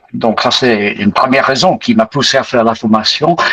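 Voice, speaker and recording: Noticeable noise sits behind a man whose pitch rises and falls in an ordinary way. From Britain. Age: 80s+. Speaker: retired pastor, investing course student. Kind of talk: testimony interview. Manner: hesitant, many fillers.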